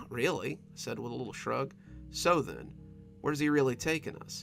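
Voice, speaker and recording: A man talks at a moderate pace and medium pitch with ordinary pitch variation while music plays in the background. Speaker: horror story narrator. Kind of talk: scary story reading.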